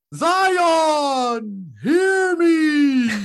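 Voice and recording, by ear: This is a put-on character voice pitched high.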